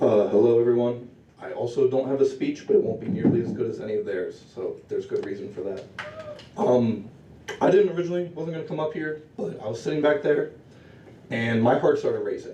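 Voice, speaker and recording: A shaky man speaks in a nervous tone at a fairly quick pace. Noticeable background noise and audible room echo fill the recording. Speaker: public commenter at student senate. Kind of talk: public comment speech. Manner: nervous, shaky.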